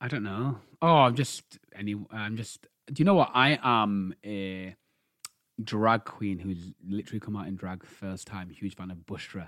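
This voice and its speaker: A man with a British accent, fairly low in pitch, fairly slow, with ordinary pitch variation and big swings in loudness. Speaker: podcast co-host. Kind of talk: casual chat.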